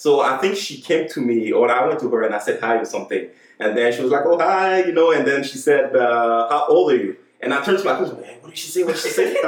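With a French accent, a man talks very fast in an animated tone, his loudness swinging widely over noticeable background noise. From Montreal, Quebec; Haitian family. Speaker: podcast guest, churchgoer. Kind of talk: casual chat. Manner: animated, repetitive.

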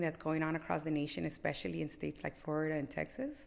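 With vocal fry and a fairly low pitch, a woman speaks at a very fast pace. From Los Angeles, Boyle Heights. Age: 40s. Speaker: community activist. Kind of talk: interview. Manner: halting, many fillers.

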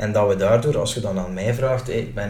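A man keeps a fairly quick pace while audible room echo and noticeable background noise fill the recording. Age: 30s. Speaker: mayor and lawyer. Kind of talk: interview.

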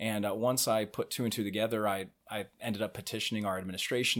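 A man talks at a fairly quick pace with an American accent. His pitch is fairly low. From Cincinnati, Ohio. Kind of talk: podcast interview. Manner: hesitant, with frequent fillers.

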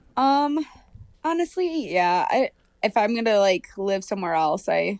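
A woman's fairly slow speech in an American accent, with very wide pitch swings, a dry, close sound without echo, and a quiet background. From Minnesota, Hopkins (Twin Cities suburb). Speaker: medical student. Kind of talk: casual chat.

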